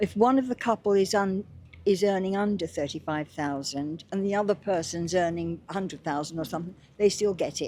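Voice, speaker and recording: With a British accent, a woman speaks at a moderate pace on a very clean recording with a silent background. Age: 80s+. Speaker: pensioner interviewee. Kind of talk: street interview.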